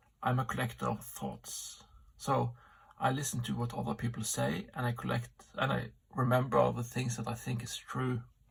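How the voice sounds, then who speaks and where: A man with a non-native accent keeps to a moderate pace as he talks. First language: not English. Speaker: amateur philosopher vlogger. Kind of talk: solo vlog monologue. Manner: halting, many fillers.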